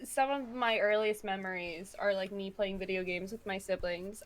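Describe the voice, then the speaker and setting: This woman has an ordinary speaking voice, medium in pitch, with ordinary pitch variation. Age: 20s. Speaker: streamer and waitress, podcast guest. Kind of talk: casual chat.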